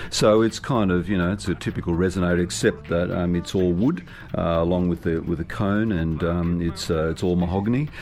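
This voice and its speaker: Very deep and low in pitch, a man with an Australian accent speaks at a moderate pace with very even loudness and ordinary pitch variation. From Australia, Sydney and rural northwestern New South Wales. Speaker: musician. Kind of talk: interview. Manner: halting, many fillers and repeated words.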